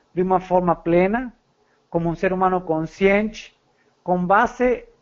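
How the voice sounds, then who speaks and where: A man with a high voice speaks at a very slow pace with fairly even intonation. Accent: Spanish. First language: Spanish (speaking Portuguese). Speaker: psychologist. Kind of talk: podcast interview. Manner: halting.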